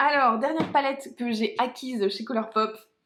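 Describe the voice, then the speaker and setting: A woman sounds animated, her voice fairly high. Her pitch moves in an ordinary way. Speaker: beauty youtuber. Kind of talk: makeup product review. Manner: fast.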